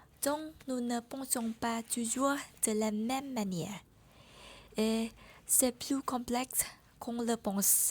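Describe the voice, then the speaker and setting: A woman with a Vietnamese accent talks in a high voice at a very slow pace. She leaves long, frequent pauses. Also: fairly even intonation. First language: Vietnamese (speaking French). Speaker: French learner vlogger. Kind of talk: personal vlog monologue.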